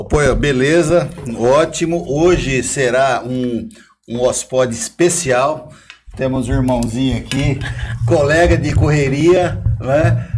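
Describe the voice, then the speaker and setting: Against noticeable background noise and audible room echo, a man speaks at a very slow pace, with medium pitch and ordinary pitch variation. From Brazil, Osasco (São Paulo). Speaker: podcast co-host. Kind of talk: casual chat.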